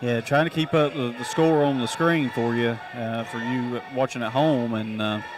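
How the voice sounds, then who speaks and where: A man speaks at a medium pitch with fairly even intonation and hardly any pauses. Noticeable background noise runs underneath. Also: moderate pace. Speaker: color commentator. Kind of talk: live commentary. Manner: halting.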